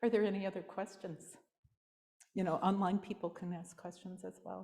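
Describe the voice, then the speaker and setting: A woman's dark, mellow, somewhat breathy voice, fairly quick and flat in a monotone, with big swings in loudness. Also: medium pitch for a woman. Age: 60s. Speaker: Zen teacher. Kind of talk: dharma talk with questions and answers.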